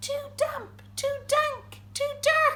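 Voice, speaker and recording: This is a put-on character voice, squeaky and extremely high in pitch. Light background noise sits behind it. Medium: read story.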